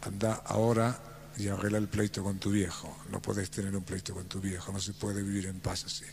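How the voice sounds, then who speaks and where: A man talks at a fairly quick pace in a fairly low, somewhat breathy voice. His intonation is monotone and flat. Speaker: inspirational speaker. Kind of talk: motivational talk.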